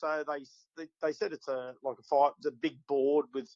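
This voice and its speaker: In a dry, close sound with no echo, a man with an Australian accent and a fairly high pitch speaks at a moderate pace. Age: 60s. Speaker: bass fishing tournament winner. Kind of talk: casual chat.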